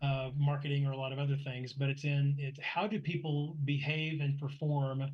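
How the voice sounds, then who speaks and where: A man's fairly high, somewhat breathy voice, monotone and flat, at a moderate pace. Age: 60s. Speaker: motorsport club director. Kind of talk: interview conversation.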